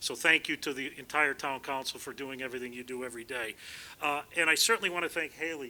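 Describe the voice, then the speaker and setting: A loud voice with a bright, sharp tone races along at a very fast pace on a very clean recording with a silent background. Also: man. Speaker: town council chairman. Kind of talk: ceremonial speech. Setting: outdoor community event.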